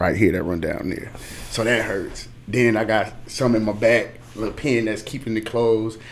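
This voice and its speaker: There is audible room echo as a man with a fairly low pitch speaks at a moderate pace. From Chicago, South Side. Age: 30s. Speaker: music industry A&R. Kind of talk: casual interview. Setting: studio livestream.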